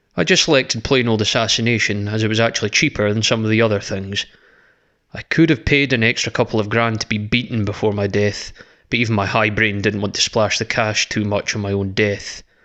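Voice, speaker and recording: Against a quiet background, a man with a Scottish accent speaks at a fairly quick pace, his tone bright and sharp, his pitch fairly low and his intonation fairly even. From Scotland. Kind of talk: horror story reading.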